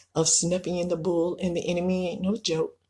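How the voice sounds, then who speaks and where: A woman talks at a moderate pace. Her voice is somewhat breathy, with a dark, mellow tone. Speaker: self-published author and entrepreneur. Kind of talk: video talk promoting own book. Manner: hesitant with many fillers.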